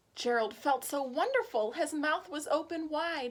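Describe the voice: A woman speaks at a high pitch and a fairly slow pace with ordinary pitch variation.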